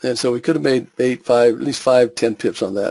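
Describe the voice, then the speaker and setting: At a fairly quick pace, a man with medium pitch and fairly even intonation comes across in a dry, close sound with no echo. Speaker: forex trading educator. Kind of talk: webinar tutorial. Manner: fast; halting with fillers.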